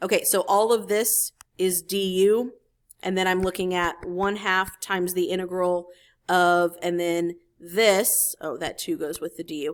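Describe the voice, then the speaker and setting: At a fairly slow pace and with fairly even intonation, a normal speaking voice comes through on a very clean recording with a silent background. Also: woman, medium pitch for a woman. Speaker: math teacher. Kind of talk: tutorial.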